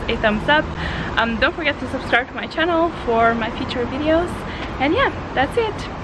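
Over loud background noise, a woman speaks with ordinary pitch variation. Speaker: travel vlogger. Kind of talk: casual vlog chat. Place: home room. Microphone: phone near.

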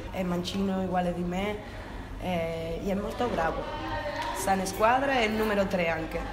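Long, frequent pauses stand out against loud background noise. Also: woman, moderate pace. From Spain, Cadiz, Andalusia. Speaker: futsal player. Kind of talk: interview. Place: home room. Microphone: lapel.

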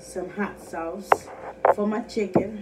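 At a very slow pace and with ordinary pitch variation, a woman speaks over noticeable background noise. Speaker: eating video host. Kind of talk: casual vlog chat. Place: home room. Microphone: phone near.

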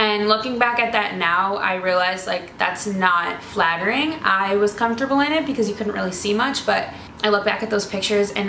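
Light background noise and audible room echo accompany a woman speaking at a fairly quick pace with ordinary pitch variation. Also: hardly any pauses. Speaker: fashion vlogger. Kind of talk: casual vlog chat. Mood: earnest, encouraging. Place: home room. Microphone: camera far.

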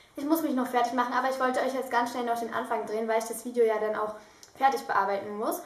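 In audible room echo, a woman talks at a very fast pace in a high pitch. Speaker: vlogger. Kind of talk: casual vlog chat. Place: home room. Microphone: phone near.

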